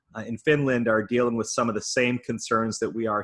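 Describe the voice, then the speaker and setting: A man's medium-pitched voice in an American accent, bright and sharp in tone, at a moderate pace. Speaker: nonprofit leadership advisor. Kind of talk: online conference talk. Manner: frequent filler words.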